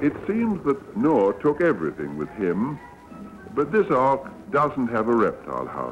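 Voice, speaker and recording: Music plays behind a man speaking at a fairly slow pace. His pitch swings very widely. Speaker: newsreel narrator. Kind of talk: documentary newsreel narration.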